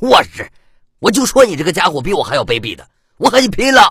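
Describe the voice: With vocal fry and a husky, rough edge, a man puts on a high-pitched, fast character voice full of big pitch swings and a fairly bright tone, on a very clean recording with a silent background.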